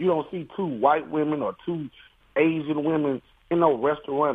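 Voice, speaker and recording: A man with a plain, everyday voice speaks at a moderate pace, fairly high in pitch, with fairly even intonation. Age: 40s. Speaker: caller. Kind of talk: radio call-in.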